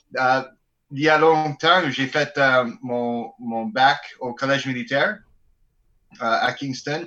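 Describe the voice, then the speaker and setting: A bright, sharp tone comes through at a very slow pace with ordinary pitch variation and long, frequent pauses. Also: man, fairly high pitch for a man. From Alberta. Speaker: bagpiper in a band. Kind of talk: casual chat.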